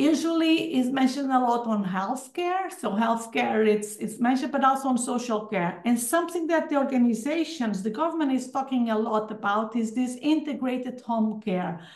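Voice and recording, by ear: A woman speaks at a moderate pace with a fairly high pitch and few pauses. Her tone is slightly mellow and her intonation lively.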